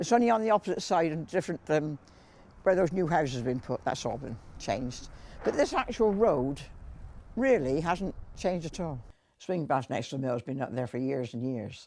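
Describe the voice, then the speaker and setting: Against a quiet background, a woman with a West Country accent talks at a fairly quick pace, her very deep, low pitch taking very wide swings and her tone dark and mellow. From Wiltshire, England. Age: 80s+. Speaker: elderly local resident. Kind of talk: interview reminiscence.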